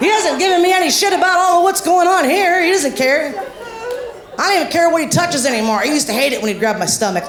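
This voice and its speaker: Crowd noise fills the background and audible room echo is present. A woman with an American accent speaks at a very fast pace with very wide pitch swings. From Ohio, US. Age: 50s. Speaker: stand-up comedian. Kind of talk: stand-up. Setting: stage with audience. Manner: loud.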